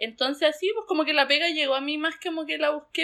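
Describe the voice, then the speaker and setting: In a Chilean accent, a woman talks at a fairly quick pace with a high pitch. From southern Chile, Pucón. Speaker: rural doctor. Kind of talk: interview.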